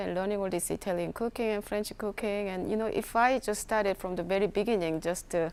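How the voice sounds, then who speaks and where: In a very clean recording with a silent background, a woman talks at a fairly quick pace. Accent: non-native. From South Korea. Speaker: chef and food entrepreneur. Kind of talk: workshop talk. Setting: workshop with audience. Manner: halting.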